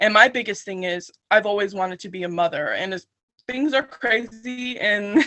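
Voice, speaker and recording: With an American accent, a woman speaks in a plain, everyday voice at medium pitch with ordinary pitch variation. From Salinas, California. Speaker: poet. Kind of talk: interview answer.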